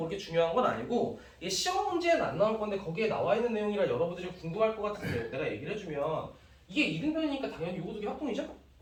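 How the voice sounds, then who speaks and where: A man talks at a very fast pace with a high pitch and very wide pitch swings. Noticeable background noise and audible room echo fill the recording. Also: big swings in loudness. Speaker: math teacher. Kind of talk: lecture.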